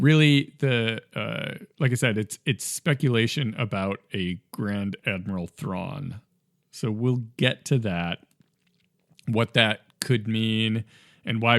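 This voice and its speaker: At a very slow pace, a man with a medium pitch and ordinary pitch variation speaks with long, frequent pauses and big swings in loudness, in a dry, close sound with no echo on a very clean recording with a silent background. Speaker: gaming podcast host. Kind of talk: casual podcast talk. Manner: hesitant, many fillers.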